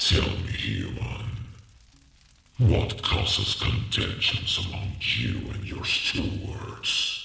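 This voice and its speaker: A man growls in a put-on character voice, fairly low in pitch. He speaks very slowly, and a clear echo surrounds him. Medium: audio drama. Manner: grave, scornful.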